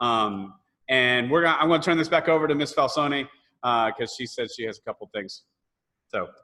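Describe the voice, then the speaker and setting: A man's fairly high, bright and sharp voice with a Southern US accent, animated tone, ordinary pitch variation, fairly quick pace and long, frequent pauses. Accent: US South. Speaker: choir director. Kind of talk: virtual parent meeting.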